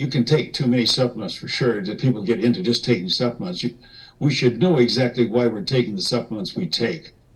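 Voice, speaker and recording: A man's somewhat breathy, medium-pitched voice at a very fast pace with lively intonation. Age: 70s. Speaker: macrobiotics nutrition educator. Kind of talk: interview. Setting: video call.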